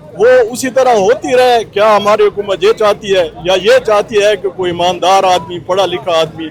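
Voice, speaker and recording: Crowd noise fills the background as a man talks. His pitch is high, with ordinary variation. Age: 70s. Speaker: protester, local elder. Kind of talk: protest interview.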